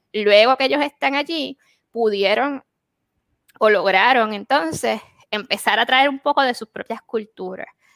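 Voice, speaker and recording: A woman speaks at a fairly slow pace with a fairly high pitch and ordinary pitch variation, in a plain, everyday voice. The sound is dry and close, with no echo. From Puerto Rico. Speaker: podcast co-host. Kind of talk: casual chat.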